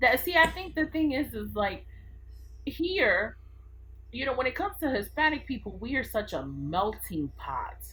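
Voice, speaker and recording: At a moderate pace, a woman talks with a New York accent. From Brooklyn, New York. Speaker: podcast guest. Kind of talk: casual chat. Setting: studio.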